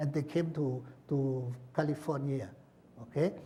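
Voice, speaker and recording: A man speaks at a fairly slow pace with a fairly high pitch and a somewhat breathy quality. His tone is dark and mellow. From Laos. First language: Lao. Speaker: author and former prisoner. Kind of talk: book talk with Q&A. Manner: halting, many repetitions.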